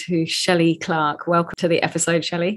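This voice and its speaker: A woman at medium pitch, talking at a fairly quick pace. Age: 50s. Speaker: podcast host. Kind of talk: casual interview; scripted intro.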